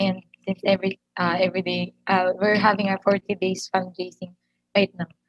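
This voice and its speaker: Speaking at a moderate pace, a woman keeps her medium-pitched voice monotone, with flat intonation. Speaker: church member sharing testimony. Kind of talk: testimony. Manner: halting.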